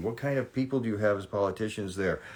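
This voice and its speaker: Lively intonation runs through a man's speech in an American accent. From Southern California. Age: 60s. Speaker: reality TV personality. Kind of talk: live stream Q&A. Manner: casual, conversational.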